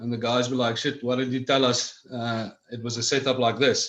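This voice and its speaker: At a fairly quick pace, a man speaks in a South African accent with hardly any pauses. His pitch is medium and his intonation monotone and flat. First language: Afrikaans. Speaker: cannabis club director. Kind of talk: interview.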